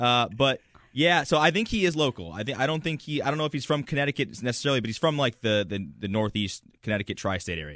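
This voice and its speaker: Speaking at a very fast pace, a man with a medium pitch and vocal fry makes very wide pitch swings. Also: hardly any pauses, quiet background. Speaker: podcast panel regular. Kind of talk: casual chat. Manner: animated.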